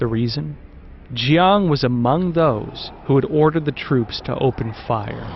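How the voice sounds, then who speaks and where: At a fairly slow pace, a man speaks at a medium pitch with a dramatic tone and lively intonation. Noticeable background noise is present. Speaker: documentary narrator. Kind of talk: history documentary narration, scripted and portentous. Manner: measured, dramatic, grave.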